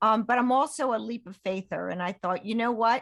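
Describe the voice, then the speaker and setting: A woman with an ordinary speaking voice talks at a fairly quick pace, fairly high in pitch with ordinary pitch variation. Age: 60s. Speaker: health and wellness mentor. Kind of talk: interview conversation.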